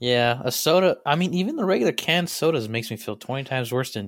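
An ordinary speaking voice goes at a fairly quick pace with lively intonation. The recording is very clean, the background silent. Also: man. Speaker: podcast guest. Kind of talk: casual chat. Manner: joking, profane.

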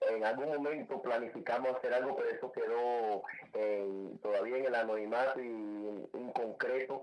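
A man talks with a medium pitch. Noticeable background noise sits behind him. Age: 50s. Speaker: salsa singer and DJ. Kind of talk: radio interview. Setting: radio studio.

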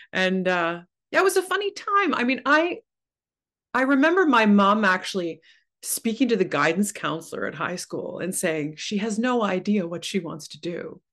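A woman with a Canadian accent speaks at a moderate pace against a quiet background. Her pitch swings very widely and her loudness rises and falls in big swings. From Ontario, Canada (Oshawa). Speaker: opera singer. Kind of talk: casual chat.

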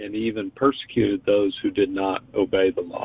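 A man talks at a moderate pace. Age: 40s. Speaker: Sunday school teacher. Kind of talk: casual Bible reflection. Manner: hesitant with repetitions.

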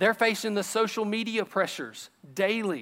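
A bright, sharp tone carries the voice. Nothing can be heard behind it, and the recording is very clean. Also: man. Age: 30s. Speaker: youth pastor. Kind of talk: sermon. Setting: church.

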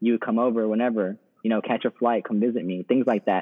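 An unremarkable speaking voice from a man with an American accent, medium pitch, fairly even intonation and a fairly quick pace. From Texas. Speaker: law student. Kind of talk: casual chat.

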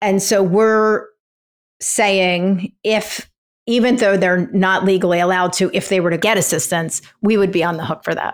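A woman with an American accent, medium pitch, fairly even intonation and a moderate pace, on a very clean recording with a silent background. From Philadelphia. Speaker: nonprofit founder. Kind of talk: interview.

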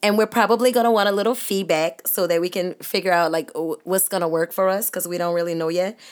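A woman speaks with a New Orleans accent. Her voice sits at a medium pitch with ordinary pitch variation. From New Orleans, uptown. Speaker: teacher and podcast co-host. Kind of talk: casual chat.

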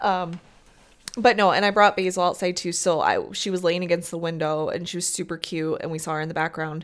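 A woman with a Midwestern US accent, fairly low-pitched, at a fairly quick pace. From US Midwest. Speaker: podcast co-host. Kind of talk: casual chat.

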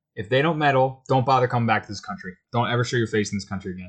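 Against a quiet background, a man speaks at a very fast pace, somewhat breathy and with lively intonation. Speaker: sports podcast host. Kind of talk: casual chat.

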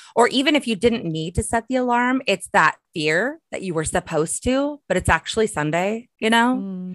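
A normal speaking voice moves at a moderate pace with lively intonation and hardly any pauses. The sound is dry and close with no echo, over a quiet background. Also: woman, fairly high pitch for a woman. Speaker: entrepreneur and author. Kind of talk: casual chat.

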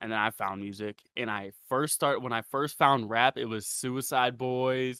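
In an American accent, a man speaks at a moderate pace with a bright, sharp tone and monotone, flat intonation, recorded very clean with a silent background and a dry, close sound with no echo. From Ohio, Ravenna. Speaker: underground rapper. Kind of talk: casual interview chat.

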